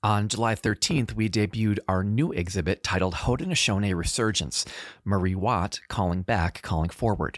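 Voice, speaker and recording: On a very clean recording with a silent background and a dry, close sound with no echo, a man with a fairly low pitch speaks at a moderate pace with very even loudness and ordinary pitch variation. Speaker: museum exhibits director and podcast host. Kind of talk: dramatic historical narration, solemn storytelling. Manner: solemn, measured, dramatic.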